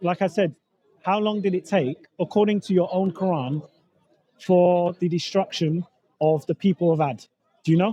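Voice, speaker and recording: Pausing long and often, a man with a high-pitched, dark, mellow tone speaks at a moderate pace with very even loudness and fairly even intonation. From England. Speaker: street preacher and debater. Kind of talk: street debate. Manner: halting, repeats words.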